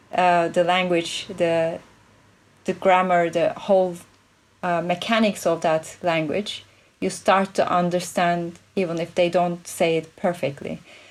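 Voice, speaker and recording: Fairly low-pitched and fairly slow, a woman talks in monotone, flat intonation with a non-native accent. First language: not English. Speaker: play expert and futurist consultant. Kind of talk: interview conversation.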